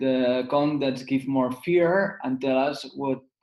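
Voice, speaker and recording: Here a man speaks with a Catalan accent at a medium pitch. His pace is fairly slow and his intonation fairly even. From Spain. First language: Spanish or Catalan. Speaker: lawyer and business advisor. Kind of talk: webinar presentation. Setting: online webinar. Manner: halting, frequent fillers.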